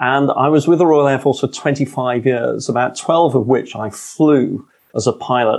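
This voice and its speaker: With a London accent, a man speaks in a fairly even intonation. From London, England. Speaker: author and leadership speaker, former pilot. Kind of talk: interview conversation, storytelling.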